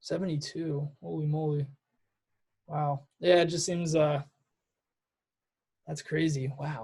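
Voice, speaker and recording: A man's somewhat breathy, fairly high voice with an American accent, at a very slow pace. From New Jersey. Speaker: student interviewer. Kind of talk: interview. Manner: halting.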